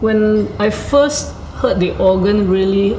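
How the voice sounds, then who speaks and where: A woman speaks over noticeable background noise. Room echo is audible. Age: 60s. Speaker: organist. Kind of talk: casual chat. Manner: hesitant, with fillers.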